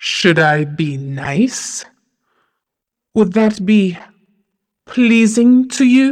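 In a put-on character voice, a woman speaks very slowly at a medium pitch, with long, frequent pauses. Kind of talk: horror audio drama. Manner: cold, proud, mocking, imperious.

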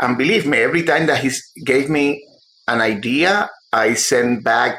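A man with a Spanish accent speaks at a moderate pace. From Cuba. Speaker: novelist. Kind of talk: interview. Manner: halting.

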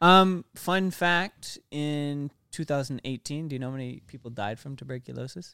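A man's fairly high voice has a bright, sharp tone, ordinary pitch variation and big swings in loudness, at a moderate pace with hardly any pauses. The very clean recording has a silent background and a dry, close sound with no echo. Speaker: podcast co-host. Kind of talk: casual podcast discussion, cutting in on friends mid-rant.

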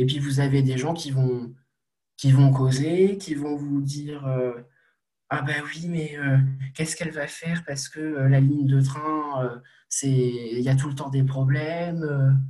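A man with a fairly high pitch and a dark, mellow tone speaks very slowly in a monotone, flat intonation, his voice somewhat breathy. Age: 20s. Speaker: young political activist. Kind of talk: interview.

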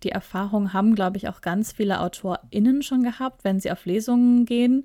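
On a very clean recording with a silent background, a woman speaks at a fairly high pitch in a dark, mellow tone with ordinary pitch variation. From Ruhr area, Germany. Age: 30s. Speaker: podcast co-host, publishing PR worker. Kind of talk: casual chat.

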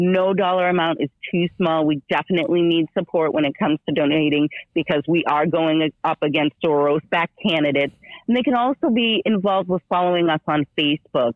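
A woman with an American accent and an ordinary speaking voice, fairly low in pitch, at a fairly quick pace, with very even loudness and ordinary pitch variation. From Massachusetts, Boston area. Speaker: political candidate. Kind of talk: radio interview. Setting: phone call.

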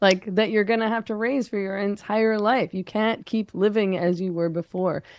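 Against a quiet background, a woman with a Canadian accent uses an ordinary speaking voice at a medium pitch, talking at a moderate pace with fairly even intonation and hardly any pauses. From Canada, Vancouver. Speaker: feminist writer. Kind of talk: interview conversation.

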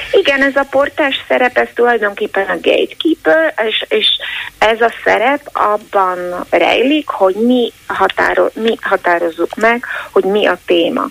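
Very even loudness at a fairly slow pace, with noticeable background noise. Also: woman. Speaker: newspaper editor-in-chief. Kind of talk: interview.

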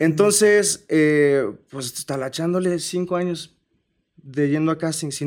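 This man talks at a fairly slow pace, with a plain, everyday voice. His intonation is lively. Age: 20s. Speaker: artist manager. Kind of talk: casual chat. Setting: studio.

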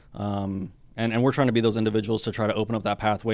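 Fairly low in pitch, a man talks at a very fast pace. His intonation is monotone and flat. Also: very clean recording, silent background. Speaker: Air Force special reconnaissance airman. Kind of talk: casual interview conversation.

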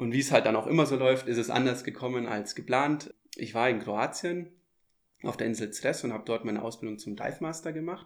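A man with a plain, everyday voice talks at a fairly quick pace, using a medium pitch and ordinary pitch variation. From Munich, Germany. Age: 20s. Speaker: dive instructor. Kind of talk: casual interview. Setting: on location by a lake.

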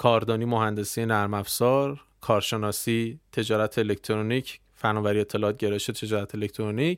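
A man with a plain, everyday voice speaks at a fairly low pitch and a moderate pace, with fairly even intonation, very even loudness and hardly any pauses. The recording is very clean, with a silent background. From Iran, Tehran. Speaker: internet entrepreneur. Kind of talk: casual interview.

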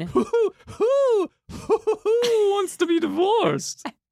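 In a put-on character voice, the speaker talks at an extremely high pitch. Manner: doofusy, silly.

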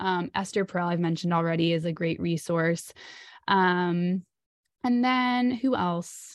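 Her pitch is fairly low, and she talks at a fairly slow pace with ordinary pitch variation. This woman has an unremarkable speaking voice. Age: 30s. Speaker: relationship anxiety coach. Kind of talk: interview.

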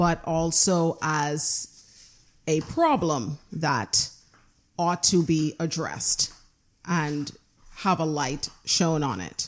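A woman's very deep, low voice at a very slow pace, with ordinary pitch variation, on a very clean recording with a silent background. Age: 30s. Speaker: abuse survivor advocate. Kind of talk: casual chat. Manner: loud.

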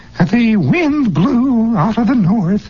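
A put-on character voice at a fairly high pitch comes through over light background noise. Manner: preachy.

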